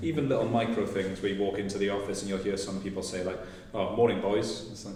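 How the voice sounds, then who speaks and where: Noticeable background noise and audible room echo fill the recording. A man with a fairly low voice speaks at a very fast pace. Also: fairly even intonation. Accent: South Wales. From Wales, South Wales Valleys. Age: 30s. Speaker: tech company employee. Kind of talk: podcast panel discussion.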